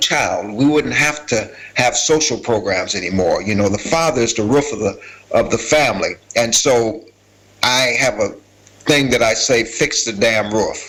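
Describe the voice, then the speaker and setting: Lively intonation marks this man's speech at a moderate pace. Background noise is noticeable. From US Midwest, Minneapolis (born Selma, Alabama). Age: 60s. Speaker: former gang leader turned community worker. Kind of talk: testimony. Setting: video call to a conference. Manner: conversational.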